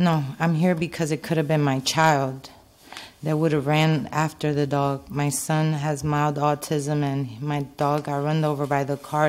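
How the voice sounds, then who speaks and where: A woman speaks in a very deep, low pitch with monotone, flat intonation. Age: 40s. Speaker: resident speaking at public comment. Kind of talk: public comment. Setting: town council meeting. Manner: halting. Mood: concerned, earnest. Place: meeting room. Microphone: podium.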